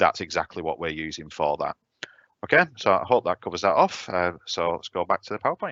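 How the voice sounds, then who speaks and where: Speaking at a fairly quick pace, a man uses a very deep, low voice. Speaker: software trainer. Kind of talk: tutorial. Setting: live online webinar. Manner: fast.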